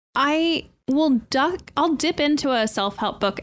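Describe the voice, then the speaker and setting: A woman is speaking. Her pace is fairly slow. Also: very clean recording, silent background. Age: 30s. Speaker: podcast host. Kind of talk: casual chat.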